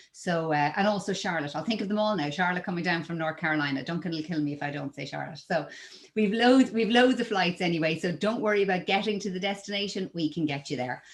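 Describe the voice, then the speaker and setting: With an Irish accent, the speaker goes at a fairly quick pace against a quiet background. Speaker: travel company presenter. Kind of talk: webinar presentation. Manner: filler-heavy with frequent 'um'.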